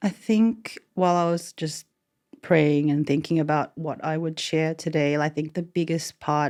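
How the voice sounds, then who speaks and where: A woman's very deep, low voice in an Australian accent, at a fairly slow pace with fairly even intonation. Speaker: podcast guest. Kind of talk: casual interview, personal testimony.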